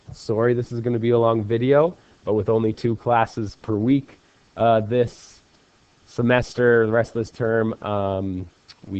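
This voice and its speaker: A man with a fairly low pitch speaks at a moderate pace in an unremarkable speaking voice. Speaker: math teacher. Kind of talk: lecture. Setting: recorded video lesson.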